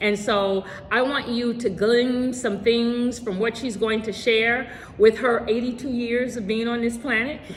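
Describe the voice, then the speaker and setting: Fairly high-pitched woman speaking at a fairly slow pace over noticeable background noise. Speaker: interview host. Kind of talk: interview host talk. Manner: upbeat.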